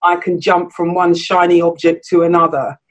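A woman speaks at a fairly slow pace with a southern English accent. Her pitch sits in the middle range. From southern England, Surrey. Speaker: podcast co-host. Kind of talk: casual chat.

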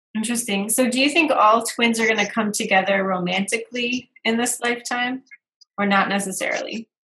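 An ordinary speaking voice from a woman, fairly high in pitch, with fairly even intonation and a fairly quick pace. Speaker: video show host. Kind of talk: casual interview chat.

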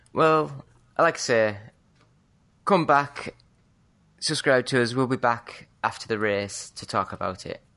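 A woman with a British accent speaks at a fairly slow pace with a very deep, low pitch and lively intonation, with long, frequent pauses. Her loudness swings widely over a quiet background. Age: 30s. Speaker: podcast co-host. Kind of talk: casual chat.

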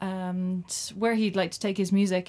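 Speaking in a Cork accent, a woman keeps a monotone, flat intonation at a medium pitch and moderate pace on a very clean recording with a silent background. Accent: Cork Irish. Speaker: community radio host. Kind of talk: casual radio chat. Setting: studio.

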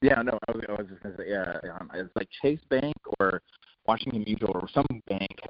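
A man with an ordinary speaking voice talks fairly quickly in an American accent, fairly low in pitch. His pitch variation is ordinary, while his loudness swings widely. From San Diego, California. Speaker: executive chef. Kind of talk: interview. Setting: phone call. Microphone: phone line, drops out.

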